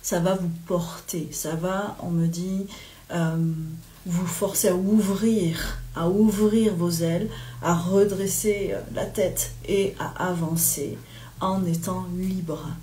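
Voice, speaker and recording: Very slow and flat, a woman speaks at a fairly low pitch in a monotone. Audible room echo and noticeable background noise surround her. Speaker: medium and spiritual guide. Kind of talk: live spiritual guidance talk. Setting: livestream from home. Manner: hesitant, many fillers.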